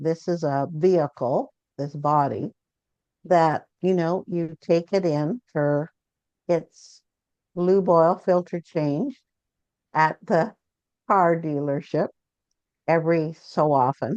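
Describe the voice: In a dry, close sound with no echo, a woman speaks slowly in a low, slightly mellow voice with ordinary pitch variation and long, frequent pauses.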